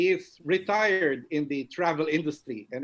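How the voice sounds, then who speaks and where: A man with a Filipino accent speaks at a fairly slow pace. His voice sits fairly high, with ordinary pitch variation. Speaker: past club president. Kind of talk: member introductions. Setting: video call.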